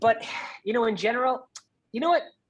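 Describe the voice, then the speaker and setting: A man with a slight New York accent. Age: 40s. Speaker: real estate investor. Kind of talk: podcast interview. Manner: animated.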